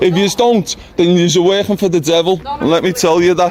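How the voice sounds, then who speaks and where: Over noticeable background noise, a man with a northern English accent talks at a fairly quick pace with ordinary pitch variation. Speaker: eviction protester. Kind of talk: heated argument. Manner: loud.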